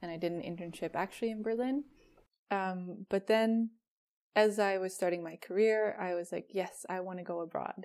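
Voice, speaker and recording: The recording is very clean, with a silent background. A woman with a Dutch accent speaks at a moderate pace in a medium-pitched voice with fairly even intonation. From Netherlands. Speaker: product designer. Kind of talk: interview.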